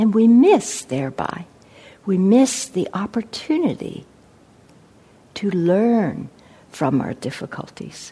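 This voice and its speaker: Her pitch sits in the middle yet swings very widely as this woman talks at a very slow pace, her dark, mellow tone somewhat breathy. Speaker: meditation teacher giving a dharma talk. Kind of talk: dharma talk with poetry reading. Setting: meditation center with audience. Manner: slow, contemplative, reflective.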